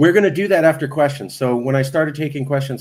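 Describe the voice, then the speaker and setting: With an American accent, this man talks very fast, and his pitch varies in an ordinary way. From California Central Valley (Fresno). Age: 40s. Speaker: political activist meeting host. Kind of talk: online Q&A meeting. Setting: live stream video call.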